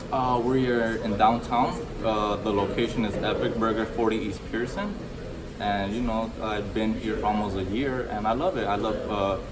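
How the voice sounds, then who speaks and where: Fairly even intonation marks this man's moderate-paced speech, heard with noticeable background noise and audible room echo. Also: medium pitch for a man. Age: 20s. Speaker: fast food restaurant supervisor. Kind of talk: street interview. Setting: restaurant. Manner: halting.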